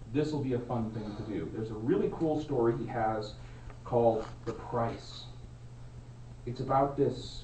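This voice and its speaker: A man talks at a moderate pace with fairly even intonation. Room echo can be heard, along with noticeable background noise. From Alaska. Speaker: Toastmasters club member. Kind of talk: prepared speech. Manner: loud.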